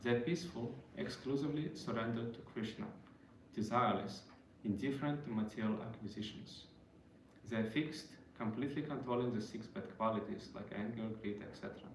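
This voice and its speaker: Over noticeable background noise and audible room echo, a man with a non-native accent speaks at a fairly quick pace. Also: medium pitch for a man, ordinary pitch variation. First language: not English. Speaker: devotional speaker. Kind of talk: religious talk. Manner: halting.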